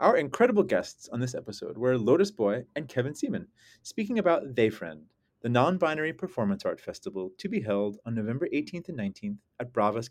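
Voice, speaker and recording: A man talking at a very fast pace, with very wide pitch swings, against a quiet background. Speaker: podcast host. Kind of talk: casual chat. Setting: studio.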